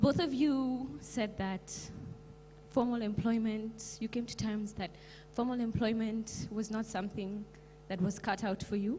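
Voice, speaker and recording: At a fairly slow pace, a woman speaks with a fairly high, somewhat breathy voice, a dark, mellow tone and fairly even intonation. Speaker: YouTuber, audience member. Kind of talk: audience question at event. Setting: event hall with audience, holding mic.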